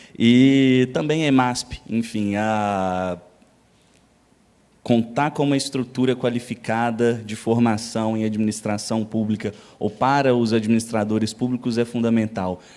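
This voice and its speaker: The pace is fairly slow, with a mineiro accent. Intonation stays fairly even. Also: man, medium pitch for a man, very clean recording, silent background. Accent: non-São Paulo Brazilian accent (mineiro). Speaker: public official, international relations specialist. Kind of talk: lecture.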